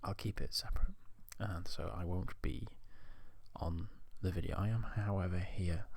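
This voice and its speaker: A soft-spoken man with a relaxed tone, very deep, low pitch and vocal fry, fairly even intonation, a moderate pace and long, frequent pauses. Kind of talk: ASMR soft-spoken ramble to camera. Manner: soft-spoken, relaxed, rambling.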